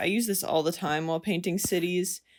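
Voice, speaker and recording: In a very clean recording with a silent background, a woman talks at a fairly low pitch with fairly even intonation. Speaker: digital artist. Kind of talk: tutorial. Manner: hesitant, many fillers.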